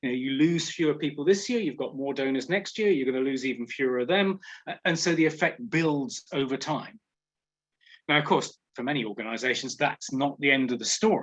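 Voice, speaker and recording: A man speaks with a British accent at a fairly high pitch. His pace is fairly quick. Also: ordinary pitch variation. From England. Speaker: professor. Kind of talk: webinar lecture.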